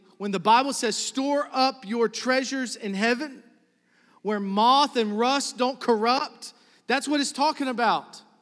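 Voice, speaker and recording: With ordinary pitch variation, this man talks fairly slowly. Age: 30s. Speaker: pastor. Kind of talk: sermon. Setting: church with congregation. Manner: animated.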